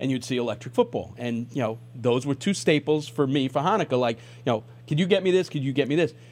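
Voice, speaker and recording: A man's fairly high, lively voice, a normal speaking voice, on a very clean recording with a silent background. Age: 50s. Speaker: radio sports talk host. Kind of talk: radio interview.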